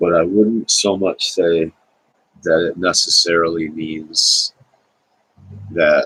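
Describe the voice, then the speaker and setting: A soft-spoken man at a very slow pace, in a dry, close sound with no echo. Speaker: video blogger. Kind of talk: casual monologue. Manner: halting.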